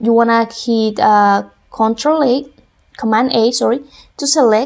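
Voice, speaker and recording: With a Spanish accent, a woman speaks in a high pitch with ordinary pitch variation. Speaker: music production tutor. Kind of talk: tutorial.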